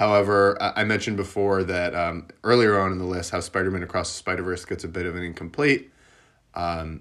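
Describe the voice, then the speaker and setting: A plain, everyday voice from a man with fairly low pitch, at a moderate pace, on a very clean recording with a silent background. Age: 30s. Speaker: podcast host. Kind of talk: solo movie review monologue.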